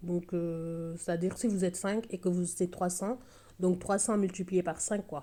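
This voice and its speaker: A woman's medium-pitched voice with a dark, mellow tone and a Senegalese accent. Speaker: budgeting vlogger, single mother. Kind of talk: casual vlog tutorial. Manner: hesitant, many fillers.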